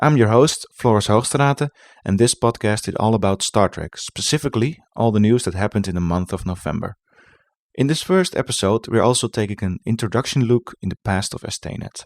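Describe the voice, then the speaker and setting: A man with a Dutch accent speaks at a fairly quick pace with a medium pitch and ordinary pitch variation. The recording is very clean and silent in the background, with a dry, close sound and no echo. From Netherlands. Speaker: podcast host. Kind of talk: podcast monologue. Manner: halting.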